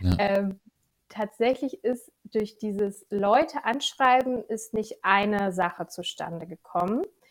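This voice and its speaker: At a very slow pace, a woman talks with fairly high pitch and ordinary pitch variation. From Lower Saxony, Germany (Gifhorn district). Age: 20s. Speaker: financial controlling freelancer. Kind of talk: podcast interview.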